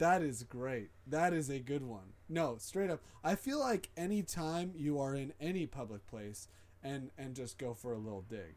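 In an ordinary speaking voice, a man with fairly high pitch talks at a moderate pace with lively intonation. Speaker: podcast host. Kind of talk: casual chat.

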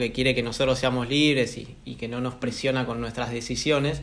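A man speaks at a medium pitch and a fairly quick pace. His intonation stays fairly even, and audible room echo can be heard. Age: 20s. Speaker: podcast host. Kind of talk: casual interview conversation.

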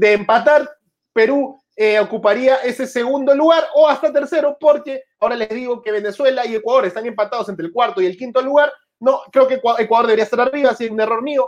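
A man's extremely high, animated voice at a fairly quick pace, with ordinary pitch variation. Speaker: football podcast host. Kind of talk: sports news commentary. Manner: halting, self-described stutter.

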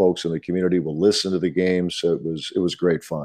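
A man's very deep, low voice with a dark, mellow tone, fairly even intonation and an American accent. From Ohio, Dayton. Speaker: sports play-by-play broadcaster. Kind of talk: interview conversation.

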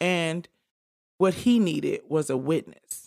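A woman speaks with an American accent in an unremarkable speaking voice, fairly low in pitch with ordinary pitch variation. The recording is very clean, the background silent. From Detroit, US. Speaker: podcast co-host. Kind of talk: casual chat.

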